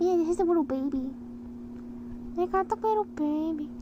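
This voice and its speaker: A woman speaks at a moderate pace with ordinary pitch variation against noticeable background noise. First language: Ukrainian. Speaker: vtuber artist streamer. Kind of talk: casual livestream chat while drawing.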